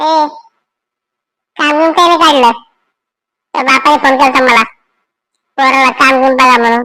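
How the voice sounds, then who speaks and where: A woman puts on a cartoonish character voice, high-pitched, with fairly even intonation. She keeps a moderate pace and very even loudness. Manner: dismissive.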